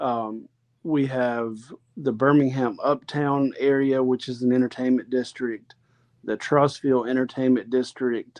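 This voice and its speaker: With a Southern US accent, a man talks at a medium pitch and a fairly slow pace. His intonation is monotone and flat. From Alabama, US South. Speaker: real estate agent. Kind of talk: interview conversation.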